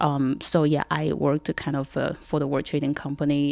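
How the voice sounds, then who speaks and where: A woman talks at a moderate pace, her pitch very deep and low. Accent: Chinese. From China, Cixi. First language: Chinese. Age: 30s. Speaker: realtor. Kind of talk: casual interview chat. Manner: halting, many fillers.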